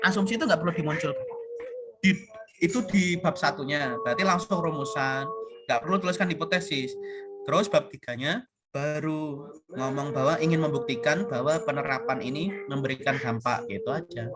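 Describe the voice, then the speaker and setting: Against noticeable background noise, a man talks at a fairly quick pace in a fairly high pitch with lively intonation. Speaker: university lecturer. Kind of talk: online class lecture. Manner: casual, conversational.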